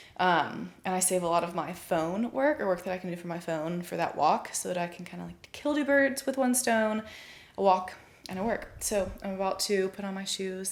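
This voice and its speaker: At a moderate pace, a woman speaks at a medium pitch with ordinary pitch variation, in an ordinary speaking voice. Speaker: fitness trainer and mom vlogger. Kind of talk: casual vlog narration. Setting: at home.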